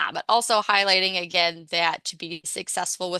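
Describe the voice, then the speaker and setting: Over a quiet background, a woman with a fairly low pitch and a bright, sharp tone talks at a fairly quick pace in a dry, close sound with no echo. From Pittsburgh, Pennsylvania. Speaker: registered dietitian. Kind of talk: presentation with Q&A. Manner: fast.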